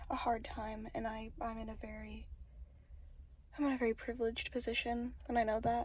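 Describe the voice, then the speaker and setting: Whispering and soft-spoken, a woman keeps a fairly quick pace broken by long, frequent pauses. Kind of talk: ASMR vlog voiceover. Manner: soft-spoken, whispered.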